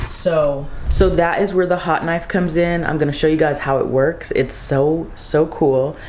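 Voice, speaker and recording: A soft-spoken voice talks at a moderate pace with hardly any pauses and fairly even intonation, amid noticeable background noise and audible room echo. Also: woman, very deep, low pitch for a woman. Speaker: small business owner and vlogger. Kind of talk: casual vlog. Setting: garage.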